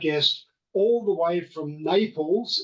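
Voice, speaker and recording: This man talks in an Australian accent, his pitch varying in an ordinary way. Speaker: podcast host.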